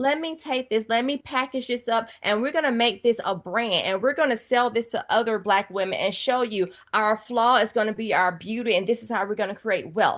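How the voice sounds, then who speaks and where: Against a quiet background, a woman with a fairly high pitch talks in an animated tone with ordinary pitch variation and hardly any pauses. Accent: Southern US. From US South, Georgia. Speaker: author and TV personality. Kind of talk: interview conversation.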